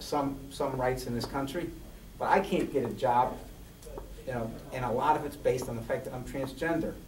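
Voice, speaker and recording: With noticeable background noise and audible room echo, a man speaks at a medium pitch and fairly even intonation, leaving long, frequent pauses. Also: moderate pace. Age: 60s. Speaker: transgender activist, panelist. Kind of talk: panel discussion. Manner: halting, many repetitions.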